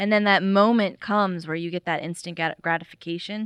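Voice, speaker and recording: Over a quiet background, a woman with an American accent speaks at a moderate pace with fairly even intonation in an unremarkable speaking voice, the sound dry and close with no echo. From Florida. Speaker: restaurant owner. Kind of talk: casual interview.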